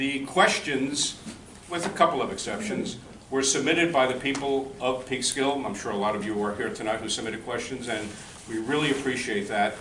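A man at medium pitch with ordinary pitch variation and a fairly quick pace, amid audible room echo and noticeable background noise. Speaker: debate moderator. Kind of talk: moderating a public candidates forum.

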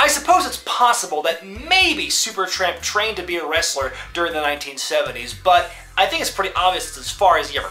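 Faint music plays in the background. Over it, a man speaks at a fairly quick pace. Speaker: wrestling show host. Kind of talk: commentary. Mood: mocking, indignant. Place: home room.

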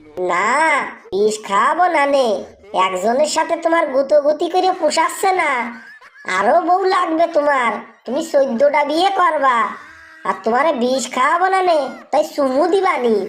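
In a cartoonish character voice, a woman speaks high and lively at a moderate pace, her loudness very even throughout. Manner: combative, fast retorts.

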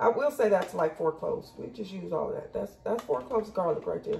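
A woman at a fairly quick pace, with faint music in the background. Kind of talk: casual cooking tutorial. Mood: relaxed, upbeat. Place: kitchen. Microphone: camera far.

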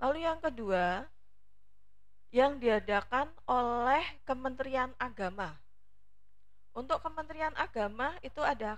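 At a very slow pace, a woman with a high pitch speaks with lively intonation. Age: 40s. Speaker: teacher, academic competition coach. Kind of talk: informative talk to students.

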